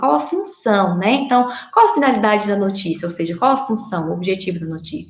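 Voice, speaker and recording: Noticeable background noise runs behind the speech. A woman talks at a medium pitch with ordinary pitch variation. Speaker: schoolteacher. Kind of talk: recorded online lesson. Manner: fast.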